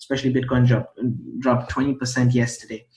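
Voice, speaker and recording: Somewhat breathy, a man speaks. His pitch is medium. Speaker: crypto trading youtuber. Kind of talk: casual vlog tutorial. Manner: stumbles over words.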